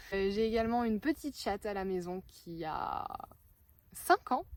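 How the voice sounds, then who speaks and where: A woman is speaking. Her pitch is medium. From northern France. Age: 20s. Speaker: vlogger. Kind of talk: casual chat. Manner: hesitant, many fillers.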